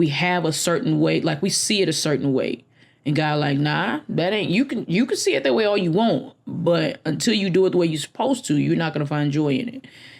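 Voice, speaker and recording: The speaker moves at a fairly quick pace with very wide pitch swings. Vocal fry runs through the voice. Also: woman, fairly low pitch for a woman. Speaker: podcast host. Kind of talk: casual solo podcast monologue. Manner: sniffing and gasping for air.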